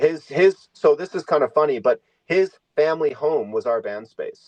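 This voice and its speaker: A man with a Canadian accent at a moderate pace, the sound dry and close with no echo. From Canada, Victoria BC. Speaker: musician. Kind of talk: casual chat.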